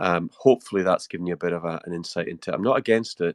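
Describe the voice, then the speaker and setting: Speaking in a very deep, low pitch, a man with a Scottish Highland accent is heard with dry, close sound, no echo, and a quiet background. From Scottish Highlands. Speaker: political commentator. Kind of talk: live audio space discussion. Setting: online audio space.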